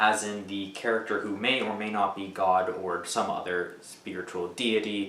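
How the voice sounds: Delivered in a natural reading voice, the speech keeps a fairly even intonation.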